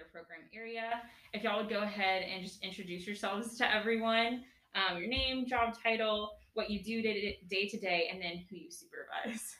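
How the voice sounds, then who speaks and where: In an American accent, a woman with a plain, everyday voice speaks at a moderate pace and fairly high pitch, with fairly even intonation and big swings in loudness. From Dallas, Texas. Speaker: podcast host. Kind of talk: casual interview.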